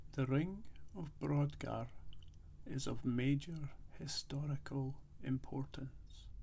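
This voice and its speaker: Soft-spoken and relaxed in tone, the speaker goes at a very slow pace. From Scotland. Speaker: ASMR creator. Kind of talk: quiet talking ASMR travelogue, informative narration. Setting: outdoors at an ancient site. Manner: quiet, soft-spoken, relaxed.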